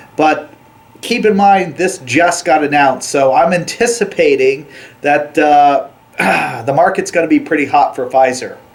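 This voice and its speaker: This man speaks at a moderate pace with a fairly high pitch. His pitch variation is ordinary, with noticeable background noise. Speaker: small business news vlogger. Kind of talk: news update monologue.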